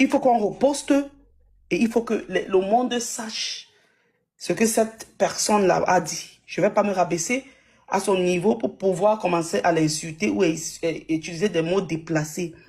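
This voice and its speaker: A woman speaks at a fairly slow pace with lively intonation. Her voice is somewhat breathy. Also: medium pitch for a woman. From anglophone Cameroon. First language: English (speaking French). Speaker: live participant. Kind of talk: heated live group discussion. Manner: forceful, emphatic.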